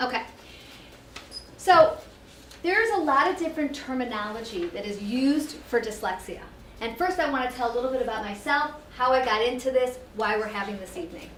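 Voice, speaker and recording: Over noticeable background noise and audible room echo, a woman with a high pitch speaks at a fairly quick pace with lively intonation and long, frequent pauses. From Israel. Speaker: educational therapist and program director. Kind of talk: workshop presentation. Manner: fast.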